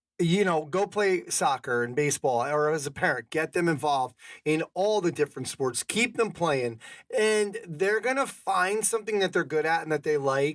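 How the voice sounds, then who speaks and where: With a plain, everyday voice, a man speaks in a fairly high pitch, his intonation lively and his loudness very even. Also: moderate pace, very clean recording, silent background. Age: 50s. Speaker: podcast host. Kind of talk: casual podcast conversation.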